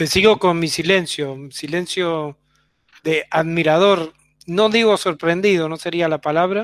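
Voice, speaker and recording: A man with an Argentine accent speaks at a high pitch and fairly slow pace. The recording is very clean with a silent background, dry and close with no echo. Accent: Argentine Spanish (voseo). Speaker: radio host. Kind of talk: interview conversation.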